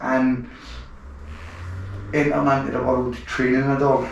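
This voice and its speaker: With a strong Glaswegian accent, a man talks at a fairly high pitch in a monotone, flat intonation, amid noticeable background noise and audible room echo. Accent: thick Glaswegian Scottish. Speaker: podcast host, gun dog enthusiast. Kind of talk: casual interview.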